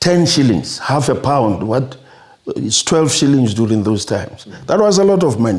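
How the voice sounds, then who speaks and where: A man speaks with a South African accent at a medium pitch. His tone is dark and mellow, with lively intonation. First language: Sepedi. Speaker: retired neurosurgeon. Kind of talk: interview, life story. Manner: halting, with repetitions.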